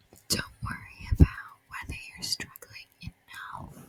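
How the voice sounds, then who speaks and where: Whispering unfolds at a very slow pace with noticeable background noise present. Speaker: ASMR creator. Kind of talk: whispered ASMR ramble. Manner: whispered.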